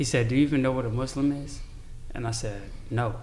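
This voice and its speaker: With an American accent, a man speaks at a moderate pace in a somewhat breathy voice, with audible room echo around him. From Chicago, US. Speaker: convert to Islam. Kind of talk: casual chat.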